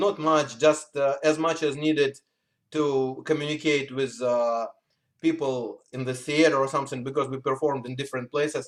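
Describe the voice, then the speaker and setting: A man with a Russian accent speaks at a moderate pace with fairly even intonation. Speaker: musician. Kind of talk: interview. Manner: halting.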